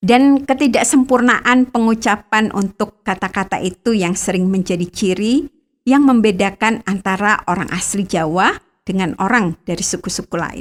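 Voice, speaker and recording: A woman speaks at medium pitch. Her pace is moderate and her pitch varies in an ordinary way. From Bangka, Indonesia (Batak family). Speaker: radio devotional host. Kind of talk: scripted devotional narration.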